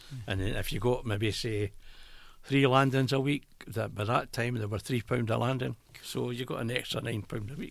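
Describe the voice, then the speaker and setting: With an Edinburgh accent, the speaker talks at a moderate pace with fairly even intonation and vocal fry. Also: man, medium pitch for a man. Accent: Scottish (Edinburgh). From Edinburgh, Scotland. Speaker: retired brewery worker. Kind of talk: interview answer.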